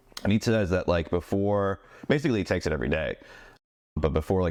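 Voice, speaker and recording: Speaking at a very fast pace, a man is captured on a very clean recording with a silent background. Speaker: podcast host. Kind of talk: casual chat. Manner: slurs words at times.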